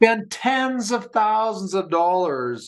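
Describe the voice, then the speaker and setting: A man with a Canadian accent speaks with lively intonation. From Canada (Alberta). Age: 60s. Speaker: podcast co-host. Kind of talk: casual chat.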